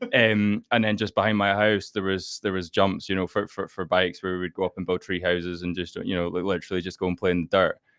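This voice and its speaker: A man with a very deep, low pitch talks very fast in a flat monotone, leaving hardly any pauses. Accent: Scottish. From Scotland, Fife. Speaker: startup founder. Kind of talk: podcast interview. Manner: halting, many repetitions.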